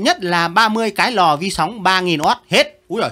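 A man's raised, projected voice has a bright, sharp and animated tone, high pitch, and a fairly slow pace. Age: 70s. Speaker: retired teacher reviewing pupils' essays. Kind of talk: casual commentary reading out pupils' work. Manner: animated, laughing.

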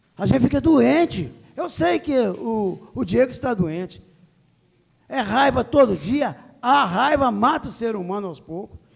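Against a quiet background, a man talks at a fairly slow pace in an extremely high pitch with very wide pitch swings. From Minas Gerais, Brazil. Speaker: council president. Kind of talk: chairing a council meeting. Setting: city council chamber. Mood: indignant, defensive. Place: hall. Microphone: podium.

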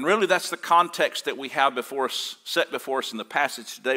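Against a quiet background, a man with a bright, sharp tone talks at a moderate pace with ordinary pitch variation. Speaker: pastor. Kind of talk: sermon. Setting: church. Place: church. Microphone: lapel.

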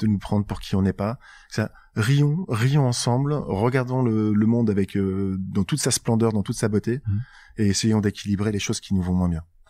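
A man's dark, mellow voice at a fairly low pitch, in a very clean recording with a silent background. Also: ordinary pitch variation, moderate pace. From northern France, Nord (Tourcoing/Roubaix/Lille). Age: 40s. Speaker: startup co-founder. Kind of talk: interview conversation.

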